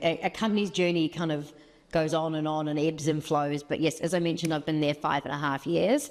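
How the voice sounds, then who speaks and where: At a fairly quick pace, a woman with a very deep, low pitch speaks in a New Zealand accent with fairly even intonation. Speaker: marketing executive. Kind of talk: interview.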